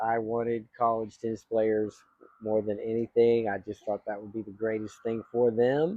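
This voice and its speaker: A man speaks with an American accent at a medium pitch. His intonation is monotone and flat, but his loudness swings a lot. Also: moderate pace. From Texas. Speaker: YouTube host, tennis coach. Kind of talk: casual chat.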